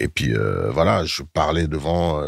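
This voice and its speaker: A man talks here. Background noise can be clearly heard. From Germany, then Paris from age 10. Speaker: rapper and actor. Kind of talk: casual interview. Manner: hesitant, many fillers.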